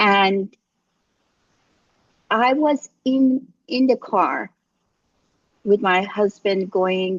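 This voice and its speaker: In an Iranian accent, a woman talks at a very slow pace. Her medium-pitched voice has lively intonation. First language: Farsi. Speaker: life coach. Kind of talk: casual chat. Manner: halting.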